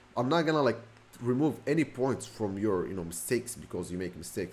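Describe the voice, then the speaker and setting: His pitch rises and falls over a very wide range. The man's pace is very fast. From Morocco. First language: Moroccan Arabic (Darija). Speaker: self-improvement youtuber. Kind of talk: casual vlog monologue. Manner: casual, halting with restarts.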